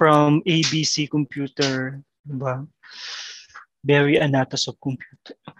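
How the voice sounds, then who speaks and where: A very deep, low-pitched woman's voice in a monotone, flat intonation at a very slow pace, with long, frequent pauses and a dry, close sound with no echo. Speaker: podcast co-host, architect. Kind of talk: casual chat. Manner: soft-spoken.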